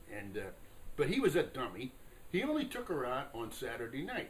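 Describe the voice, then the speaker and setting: A man talks at a moderate pace with an American accent as noticeable background noise plays. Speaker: Korean War veteran. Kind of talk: interview answer. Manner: hesitant, conversational.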